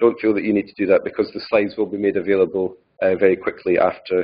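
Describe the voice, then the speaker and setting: This is a man speaking. He has a Scottish accent. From Scotland. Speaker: data curation specialist. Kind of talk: conference talk. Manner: fast; hesitant, many fillers and repeats.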